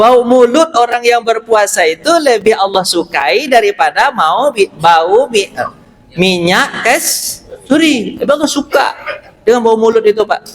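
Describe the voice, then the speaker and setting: This man speaks with a West Sumatran accent and an animated tone, his pitch extremely high for a man. He goes at a fairly slow pace with very even loudness. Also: lively intonation. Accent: Pariaman Minang. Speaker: Islamic preacher. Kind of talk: sermon. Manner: animated, conversational with audience.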